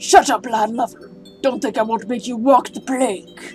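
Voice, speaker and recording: Clear music plays behind a put-on character voice with a fairly high pitch. The pace is moderate. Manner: exaggerated, bad impression.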